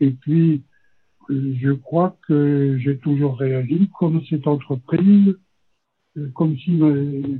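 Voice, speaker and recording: At a very slow pace, a man with a fairly high pitch speaks with long, frequent pauses. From Burgundy, France (Le Creusot). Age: 80s+. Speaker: retired engineer. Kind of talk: interview.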